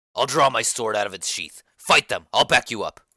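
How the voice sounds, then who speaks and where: A man puts on a raspy character voice at a moderate pace. The sound is dry and close, with no echo. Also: medium pitch for a man. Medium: read story. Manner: boastful.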